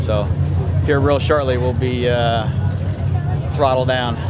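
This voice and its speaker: A man at a fairly quick pace with ordinary pitch variation, dry sound with no echo, and music in the background. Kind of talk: pre-race interview answer. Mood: excited, smiling. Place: car. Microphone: phone near.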